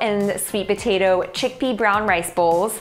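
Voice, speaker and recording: A woman speaks at a moderate pace with ordinary pitch variation. Faint music plays in the background. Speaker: food blogger host. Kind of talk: cooking video intro. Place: kitchen. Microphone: lapel.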